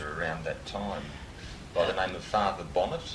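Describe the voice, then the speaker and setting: A man with a very deep, low pitch, a moderate pace and ordinary pitch variation, plus noticeable background noise. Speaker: oral history interviewer. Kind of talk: interview questions.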